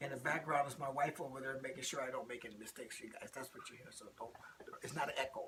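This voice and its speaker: Against noticeable background noise, a man with an American accent talks at a very fast pace with fairly even intonation and big swings in loudness. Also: medium pitch for a man. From US Midwest, Rockford, Illinois. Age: 60s. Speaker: interviewee. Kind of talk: interview. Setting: at home.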